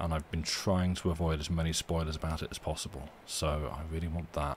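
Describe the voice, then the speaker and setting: A man's very deep, low, somewhat breathy voice at a very fast pace. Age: 40s. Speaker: streamer reading stories aloud. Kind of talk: casual chat; reading aloud. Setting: live stream.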